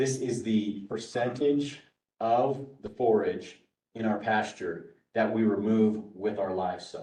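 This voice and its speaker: A man speaks very slowly in a dark, mellow tone with fairly even intonation, and the room echo is audible. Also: medium pitch for a man. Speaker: workshop presenter on grazing management. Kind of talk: workshop lecture.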